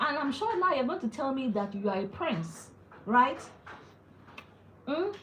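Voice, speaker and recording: A woman with a Nigerian accent speaks at a fairly slow pace, her pitch swinging very widely. Audible room echo surrounds her voice. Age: 40s. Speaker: wellness vlogger. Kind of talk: casual live-stream chat. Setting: at home, live stream. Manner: animated.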